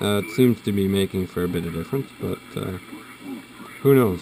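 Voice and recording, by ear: Over faint background noise, a man with a low pitch and a slightly mellow tone speaks at a moderate pace with fairly even intonation.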